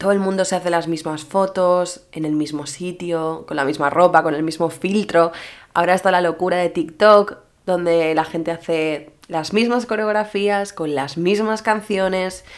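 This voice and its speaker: At a fairly slow pace, a woman with a plain, everyday voice speaks at a fairly low pitch with ordinary pitch variation. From Mallorca, Spain. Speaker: social media influencer and podcaster. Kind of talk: solo podcast monologue. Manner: casual, chatty.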